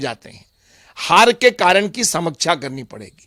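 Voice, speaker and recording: A man projects a raised voice. His tone is bright and sharp. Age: 60s. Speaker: politician. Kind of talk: interview.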